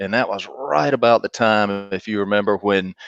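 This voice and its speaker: A man with a slight Southern US accent speaks in a dry, close sound with no echo. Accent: Southern drawl, slight. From US South, North Carolina. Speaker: marketing executive. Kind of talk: interview. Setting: live video stream.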